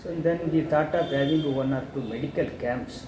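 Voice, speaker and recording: A man talks with ordinary pitch variation. Noticeable background noise runs under his voice. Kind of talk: interview answer.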